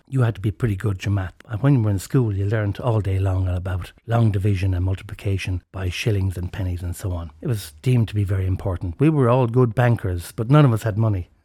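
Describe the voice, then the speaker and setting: Somewhat breathy and dark, mellow in tone, the voice races at a very fast pace with hardly any pauses in an Irish accent, in a very clean recording with a silent background. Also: man, fairly low pitch for a man, ordinary pitch variation. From Ireland. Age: 60s. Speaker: podcast host. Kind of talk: storytelling monologue.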